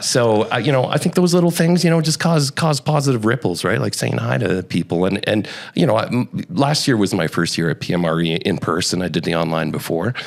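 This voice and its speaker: Amid noticeable background noise, a man talks at a fairly quick pace in a fairly low voice, his pitch swinging very widely while his loudness stays very even. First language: Spanish. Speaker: real estate media professional. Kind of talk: casual chat. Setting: conference podcast studio.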